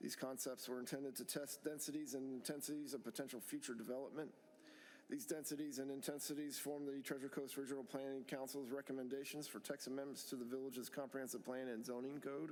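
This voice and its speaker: A man's fairly high voice, very fast and monotone, flat in intonation, with very even loudness. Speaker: village planning and zoning director. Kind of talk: staff presentation reading notes. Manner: fast, reading notes.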